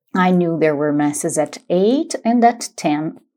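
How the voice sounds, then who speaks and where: A woman talks with a Brazilian accent. Her pace is fairly slow. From Brazil, São Paulo state. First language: Portuguese. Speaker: podcaster sharing travel stories. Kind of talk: personal storytelling monologue. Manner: casual, with hesitations.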